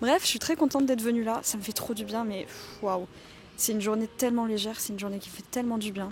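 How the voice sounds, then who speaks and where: A woman's fairly high-pitched voice at a very fast pace, with ordinary pitch variation and noticeable background noise. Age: 20s. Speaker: vlogger and self-confidence mentor. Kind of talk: casual vlog. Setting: outdoors in a garden.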